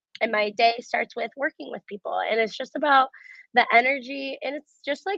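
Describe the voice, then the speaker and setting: A woman talks with an American accent in a normal speaking voice. Her pace is fairly quick and her pitch variation is ordinary. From US Midwest, Cleveland, Ohio. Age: 20s. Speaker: athlete and fitness coach. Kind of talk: interview conversation.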